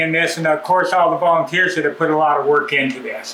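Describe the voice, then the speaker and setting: A man talks very fast in an Ontario accent. The recording has noticeable background noise and audible room echo. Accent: Canadian English (Ontario). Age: 70s. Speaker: dirt bike club member giving a maintenance demo. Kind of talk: casual address to club members; casual tutorial. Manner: relaxed, with many fillers.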